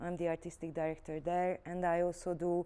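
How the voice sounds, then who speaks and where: In a Hungarian accent, a woman speaks at a moderate pace with a dark, mellow tone. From Hungary, Budapest. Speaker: arts director and career trainer. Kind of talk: workshop instructions to students.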